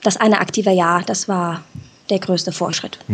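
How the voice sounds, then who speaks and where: A woman talks at a moderate pace in a monotone, flat intonation. Noticeable background noise is present. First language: Czech (speaking German). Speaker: listener interviewed on a podcast. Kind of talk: casual interview.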